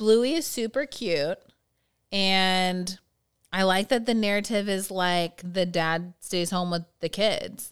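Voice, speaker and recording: Very slow speech with ordinary pitch variation comes through on a very clean recording over a silent background. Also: woman, medium pitch for a woman. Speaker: podcast co-host, works with teens. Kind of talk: casual chat.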